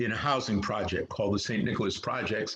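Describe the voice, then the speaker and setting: A man talks with a New York accent. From New York City (Harlem). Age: 70s. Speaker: actor. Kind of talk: interview. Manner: halting, many fillers.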